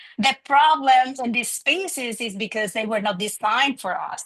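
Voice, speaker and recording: Her intonation lively, a woman speaks in a fairly high pitch with a strong Spanish accent. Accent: thick Spanish. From Dominican Republic. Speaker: graduate student. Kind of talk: panel discussion.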